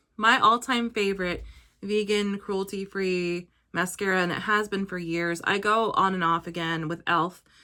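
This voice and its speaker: On a very clean recording with a silent background, a woman talks quietly at a moderate pace, her medium-pitched voice bright and sharp in tone, with fairly even intonation. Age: 30s. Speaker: beauty vlogger. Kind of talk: tutorial.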